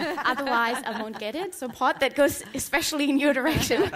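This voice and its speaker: Noticeable background noise sits under a woman speaking with a German accent. Her pitch is high, with ordinary variation, and her pace is fairly quick. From Germany. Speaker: academic. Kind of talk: panel self-introduction. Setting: conference stage with audience. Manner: hesitant with many ums.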